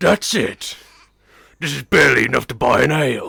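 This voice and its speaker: A raspy, put-on character voice is used. The pace is moderate. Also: man, fairly high pitch for a man. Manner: menacing, sneering.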